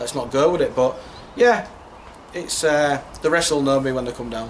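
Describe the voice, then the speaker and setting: A man speaks with a Yorkshire accent. Noticeable background noise runs underneath. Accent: Yorkshire (Hull). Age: young. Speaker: football manager. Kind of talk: interview. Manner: loud.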